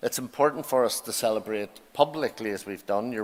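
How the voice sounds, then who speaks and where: This speaker has an Irish accent. The pace is moderate. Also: man. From Ireland. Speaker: university principal. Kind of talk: ceremonial speech. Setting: graduation ceremony hall. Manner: formal.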